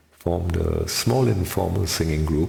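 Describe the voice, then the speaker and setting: Noticeable background noise and audible room echo accompany a man speaking fairly slowly at a very deep, low pitch. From India, Mumbai. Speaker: amateur singer. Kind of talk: personal reminiscence monologue.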